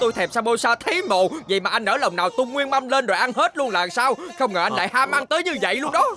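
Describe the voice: A man does a cartoonish character voice at an extremely high pitch, fast and with lively intonation, in a bright, sharp tone over faint background noise.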